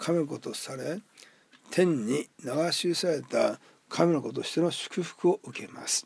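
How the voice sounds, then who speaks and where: This man has an ordinary speaking voice, fairly high in pitch, with ordinary pitch variation and a moderate pace. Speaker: pastor. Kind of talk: short sermon talk. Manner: formal.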